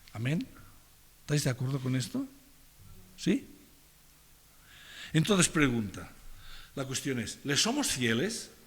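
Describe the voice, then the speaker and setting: A somewhat breathy man at a fairly slow pace, fairly high in pitch, with very wide pitch swings. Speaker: pastor. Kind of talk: sermon.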